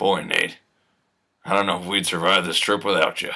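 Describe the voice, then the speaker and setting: A raspy put-on character voice at a moderate pace, flat and monotone in intonation. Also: man, very deep, low pitch for a man. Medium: stage play.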